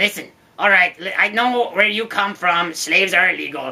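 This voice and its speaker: A female-sounding voice puts on a character voice. The pitch sits at a medium level for a woman. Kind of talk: comic overacting. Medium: comedy sketch. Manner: exasperated, pompous.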